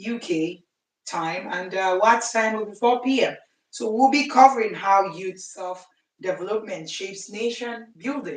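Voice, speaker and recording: A woman is speaking, her pitch varying by ordinary amounts. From Nigeria. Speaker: talk show host. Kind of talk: show closing remarks.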